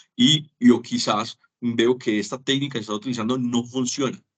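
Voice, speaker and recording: At a moderate pace, a man speaks in an ordinary speaking voice of medium pitch with ordinary pitch variation. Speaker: teacher. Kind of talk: lecture.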